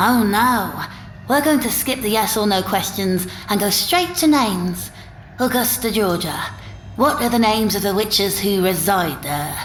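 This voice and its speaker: A female-sounding, put-on character voice at a medium pitch and moderate pace, over clear background noise. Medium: read story. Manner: menacing, self-righteous, zealous.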